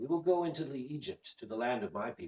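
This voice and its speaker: A man's put-on character voice, fairly high in pitch and very fast in pace. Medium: read story. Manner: menacing, fanatical.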